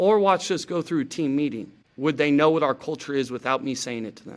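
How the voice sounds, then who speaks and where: With an American accent, a man speaks in a plain, everyday voice at a fairly high pitch. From Oregon, US. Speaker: high school football coach. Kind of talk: podcast interview.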